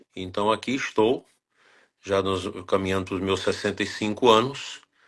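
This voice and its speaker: A man's normal speaking voice at a fairly low pitch, with fairly even intonation and a moderate pace. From Brazil, northern Goiás. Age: 60s. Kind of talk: interview.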